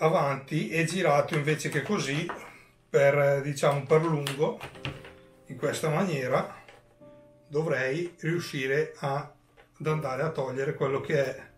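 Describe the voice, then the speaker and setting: Amid faint background music and audible room echo, a man speaks at a fairly slow pace with fairly even intonation and long, frequent pauses. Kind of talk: tutorial. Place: home room.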